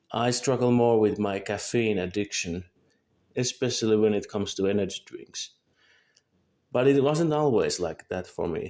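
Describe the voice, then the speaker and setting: A man's dark, mellow voice sits at medium pitch, moving at a moderate pace with ordinary pitch variation. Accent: Finnish. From Finland. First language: Finnish. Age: 20s. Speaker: vlogger. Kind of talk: scripted monologue. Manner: halting.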